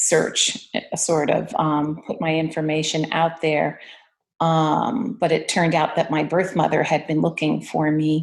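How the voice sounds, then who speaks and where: A woman with a very deep, low voice and vocal fry talks at a fairly slow pace. Her intonation is fairly even and her loudness very even. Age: 60s. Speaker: artist. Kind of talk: casual chat. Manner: halting, many fillers.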